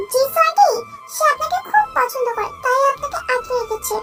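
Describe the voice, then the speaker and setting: A woman puts on a squeaky character voice at an extremely high pitch, with lively intonation. She speaks at a moderate pace, with music in the background. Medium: read story. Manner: curt, cool.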